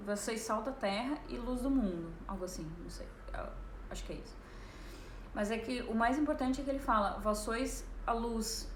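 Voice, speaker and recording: A woman speaks with a fairly high pitch. Noticeable background noise and audible room echo surround her. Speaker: life coach. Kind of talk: live stream talk.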